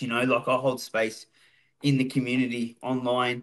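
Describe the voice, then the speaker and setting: A man speaks in an Australian accent. The background is quiet. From Melbourne western suburbs, Australia. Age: 40s. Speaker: former prisoner and recovery speaker. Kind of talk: casual interview. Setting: studio. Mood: reflective, candid about past. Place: home room. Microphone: video call.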